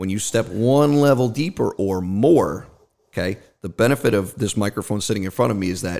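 A man's fairly low voice with a slight New Jersey accent, ordinary pitch variation and a fairly quick pace, on a very clean recording with a silent background. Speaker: marketing expert, volunteer firefighter and ex-Marine. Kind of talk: casual conversational interview.

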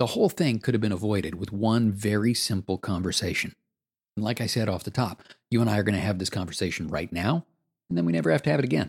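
The speech comes at a very fast pace in a dry, close sound with no echo. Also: man, fairly low pitch for a man, ordinary pitch variation. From Canada, Toronto. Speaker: former radio host and voice coach. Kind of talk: scripted narration. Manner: natural conversational delivery.

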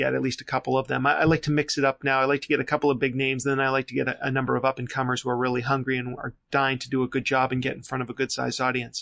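With an American accent, a man talks at a very fast pace and medium pitch, the sound dry and close with no echo. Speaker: marketing agency founder. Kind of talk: interview.

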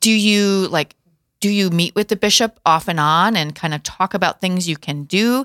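A woman's medium-pitched voice with ordinary pitch variation, dry and close with no echo, on a very clean recording with a silent background. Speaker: talk show host. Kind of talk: interview. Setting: studio. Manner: fast.

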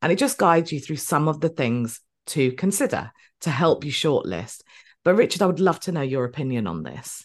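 A woman with a very deep, low voice and vocal fry talks at a fairly quick pace with lively intonation. The background is quiet. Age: 40s. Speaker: podcast host and business mentor for tutors. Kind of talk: casual interview chat.

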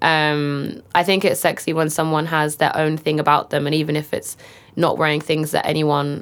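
In a London accent, a woman with a very deep, low pitch speaks at a fairly quick pace in a flat monotone, on a very clean recording with a silent background. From northeast London. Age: young. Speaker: photographer and director. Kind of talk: casual interview.

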